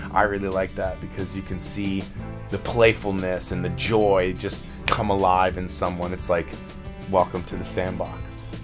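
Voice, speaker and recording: Clear music plays in the background. A man speaks at a moderate pace in a very deep, low pitch. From Canada. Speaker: voice actor and voice acting instructor. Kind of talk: casual interview answer. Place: studio.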